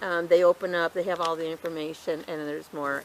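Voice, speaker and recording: Fairly low in pitch, a woman speaks at a fairly quick pace with monotone, flat intonation. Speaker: gardening youtuber. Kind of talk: casual tutorial. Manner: fast.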